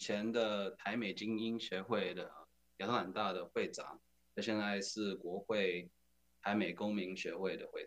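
With an American accent, a man speaks in a normal speaking voice at a moderate pace, with fairly low pitch and fairly even intonation. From US South, Atlanta, Georgia. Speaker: community organization leader. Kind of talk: casual interview.

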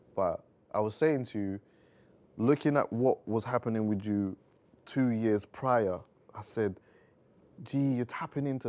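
Speaking with a London accent, a man keeps a moderate pace at medium pitch with ordinary pitch variation. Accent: London urban. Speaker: podcast host. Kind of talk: casual interview chat. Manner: relaxed, conversational.

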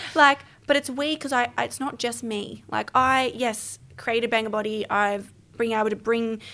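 A woman's bright, sharp, fairly high voice with an Australian accent, in a very clean recording over a silent background. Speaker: podcast guest, business founder. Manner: fast talker.

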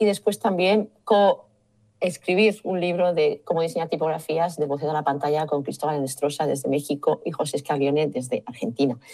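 Her voice is very deep and low-pitched, with a dark, mellow tone, as this woman speaks. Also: ordinary pitch variation, moderate pace. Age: 50s. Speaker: type designer. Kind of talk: interview.

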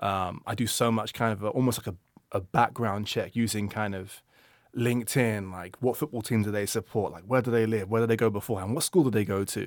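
A man with a London accent speaks at a fairly quick pace, his pitch fairly low and his intonation fairly even. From London, England. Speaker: music industry product manager. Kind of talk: casual interview chat. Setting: studio.

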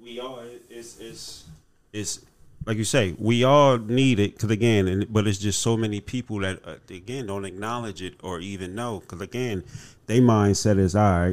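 A man with an American accent, fairly low-pitched, at a moderate pace, with big swings in loudness, on a very clean recording with a silent background. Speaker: podcast host. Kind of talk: casual podcast chat. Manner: animated.

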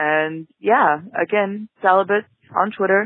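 A woman's unremarkable speaking voice at a medium pitch, with ordinary pitch variation. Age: 20s. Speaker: listener caller. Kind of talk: voicemail. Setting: phone voicemail.

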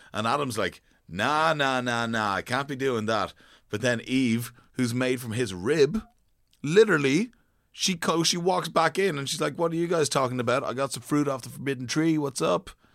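The recording is very clean, with a silent background. A man with a plain, everyday voice talks at a moderate pace with lively intonation. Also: medium pitch for a man. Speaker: podcast co-host. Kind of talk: casual educational chat.

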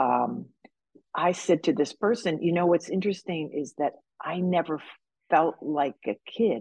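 A woman speaks at a fairly low pitch and a fairly slow pace, with some vocal fry. Her pitch varies in an ordinary way, and the sound is dry and close with no echo. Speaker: author and actor. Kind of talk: interview conversation, personal storytelling.

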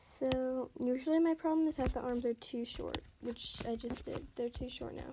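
Soft-spoken and high-pitched, a woman talks at a moderate pace with a dark, mellow tone and fairly even intonation. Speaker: podcast host doing art tutorials. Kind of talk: casual drawing walkthrough. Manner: soft-spoken, quiet; casual with fillers and hesitations.

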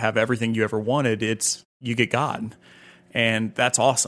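A man's fairly quick delivery, monotone with flat intonation. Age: 30s. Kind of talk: interview.

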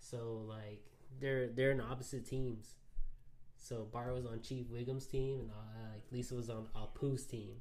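Speaking at a fairly slow pace, a man with a Houston accent holds a medium pitch. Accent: Texan, Houston. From Houston, Texas. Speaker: honorary co-host. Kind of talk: casual chat.

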